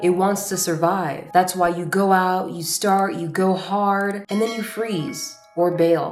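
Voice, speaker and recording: With music in the background, a woman at a medium pitch speaks very slowly and with hardly any pauses, her intonation fairly even. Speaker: self-growth content creator. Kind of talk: personal video journal, self-growth talk to camera.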